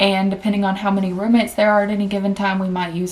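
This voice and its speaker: A woman speaks with a Southern US accent at a medium pitch. Her intonation is monotone and flat. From Tennessee, US South. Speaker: vlogger and travel nurse. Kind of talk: casual personal finance vlog. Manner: chatty, conversational.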